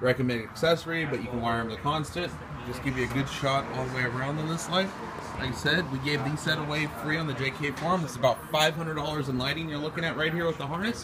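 Noticeable background noise sits behind the voice. A man talks at a very fast pace with ordinary pitch variation. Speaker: shop salesperson. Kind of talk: product demo commentary. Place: shop. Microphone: phone near.

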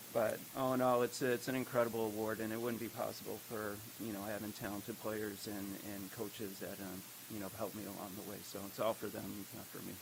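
Soft-spoken and fairly low-pitched, a man talks at a fairly quick pace in a monotone, flat intonation. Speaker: high school baseball coach. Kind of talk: speech recap at board meeting. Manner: hesitant, many fillers.

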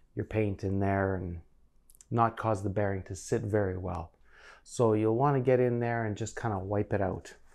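A man talks in an ordinary speaking voice, fairly low in pitch, at a moderate pace with fairly even intonation. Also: quiet background. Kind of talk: tutorial. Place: home room. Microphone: lapel.

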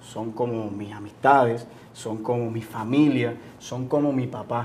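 A man speaks at a medium pitch and a fairly slow pace, with fairly even intonation. His is an unremarkable speaking voice. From Cuba. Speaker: entrepreneur, business owner. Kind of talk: interview.

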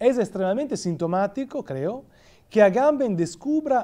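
This man's voice has a dark, mellow tone and very wide pitch swings. He talks with an Italian accent. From Italy. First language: Italian (speaking Spanish). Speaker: philosophy professor; guest lecturer, professor. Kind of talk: lecture. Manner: halting. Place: hall.

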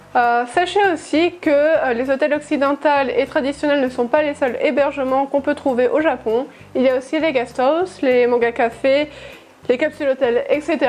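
A woman speaks at a high pitch and a moderate pace. Her intonation is fairly even and her loudness very even. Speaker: travel vlogger. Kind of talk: casual vlog chat. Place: home room. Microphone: lapel.

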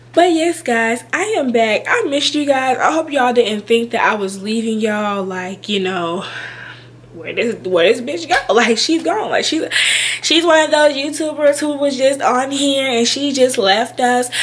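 The intonation is lively and the pace moderate. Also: woman, high pitch for a woman. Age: 20s. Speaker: YouTuber, childcare worker. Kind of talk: casual vlog talk to camera. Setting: home recording on camera. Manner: animated. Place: home room. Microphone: webcam.

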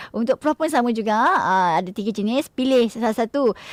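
A woman talks at a moderate pace with a fairly high pitch and ordinary pitch variation. The sound is dry and close, with no echo. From Malaysia, Pahang. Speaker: radio host. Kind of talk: cooking show chat. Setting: radio studio, also streamed live. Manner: animated.

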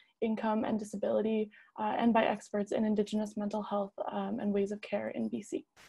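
With faint music in the background, a woman talks at a fairly quick pace in a fairly high pitch, her intonation flat and monotone. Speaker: debate moderator and journalist; debate moderator, journalist. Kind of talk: moderating a debate. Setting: video call. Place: home room. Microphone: earbuds.

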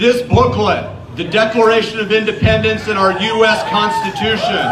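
A man speaks at a fairly slow pace with music in the background. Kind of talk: rally speech. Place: street.

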